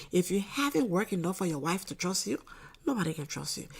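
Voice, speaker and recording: A woman with vocal fry talks at a medium pitch and a fairly quick pace. Her intonation is lively. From Liberia. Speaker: political commentator. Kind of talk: casual monologue. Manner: subdued, not too loud; halting, repetitive fillers.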